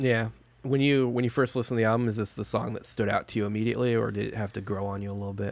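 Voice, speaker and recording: A man speaks very fast with an American accent. His pitch is medium and his intonation monotone and flat. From Chicago suburbs, US Midwest. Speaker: podcast co-host. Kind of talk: casual chat. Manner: joking, laid-back.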